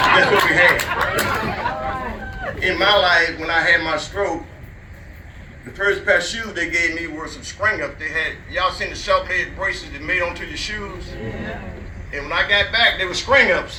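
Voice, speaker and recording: A man with an American accent talks at a moderate pace with long, frequent pauses and big swings in loudness, amid noticeable background noise and audible room echo. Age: 70s. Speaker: community elder speaking at park centennial. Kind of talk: speech to a crowd.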